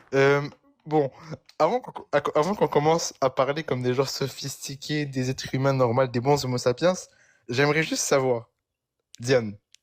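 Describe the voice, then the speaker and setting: A man with a fairly high pitch talks at a moderate pace, his intonation fairly even. Long, frequent pauses break up his speech, and the sound is dry and close with no echo. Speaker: religious debater in a live debate. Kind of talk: heated debate. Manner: halting.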